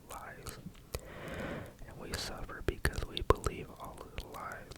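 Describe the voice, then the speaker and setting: The words come as a whisper, fairly slow in pace. Behind them, background noise is noticeable. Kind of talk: audiobook-style reading of a self-help book. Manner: whispered, slow.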